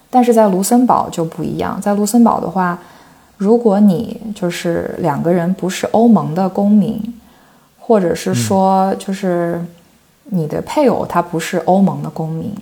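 A woman speaks at a medium pitch with ordinary pitch variation. Noticeable background noise runs behind her. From China, Shandong. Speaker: PhD researcher in cross-cultural communication. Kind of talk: casual interview.

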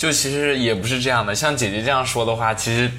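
Over noticeable background noise and audible room echo, a man speaks at medium pitch with fairly even intonation. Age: 20s. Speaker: trainee idol and university student. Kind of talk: casual chat.

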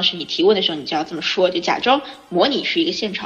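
Noticeable background noise runs under a woman who speaks at a very fast pace. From China. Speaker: journalist and film podcast host. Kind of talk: casual chat.

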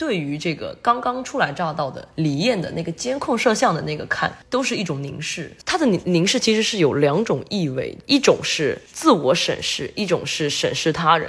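A woman's somewhat breathy voice at medium pitch runs at a moderate pace with hardly any pauses and very wide pitch swings. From mainland China. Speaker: film student. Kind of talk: casual film discussion.

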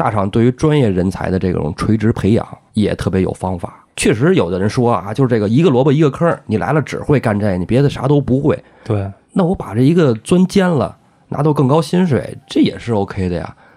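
A man speaks at a medium pitch in a dark, mellow tone. His pace is fairly quick, and his pitch swings very widely. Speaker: podcast co-host. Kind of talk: casual chat. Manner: animated.

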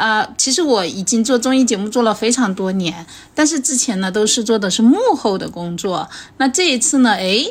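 A woman with a fairly high, somewhat breathy voice speaks at a moderate pace, her tone animated and her intonation lively. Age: 40s. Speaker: podcast host and comedian. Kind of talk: casual chat.

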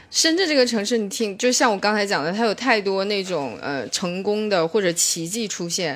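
A woman with a northeastern Chinese accent speaks at a medium pitch and a fairly quick pace with ordinary pitch variation, in a very clean recording with a silent background. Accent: northeastern Mandarin. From Shenyang, northeast China. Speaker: stand-up comedian. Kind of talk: casual chat.

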